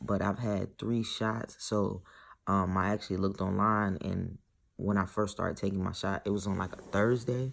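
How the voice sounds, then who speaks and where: A man's fairly low, monotone voice with flat intonation at a moderate pace, on a very clean recording with a silent background. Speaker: vlogger documenting gender transition. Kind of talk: casual vlog. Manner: casual, filler-heavy.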